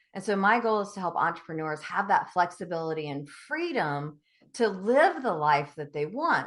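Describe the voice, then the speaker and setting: Lively intonation marks a woman's medium-pitched voice in a Southern US accent. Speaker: business coach. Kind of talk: podcast interview. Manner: animated.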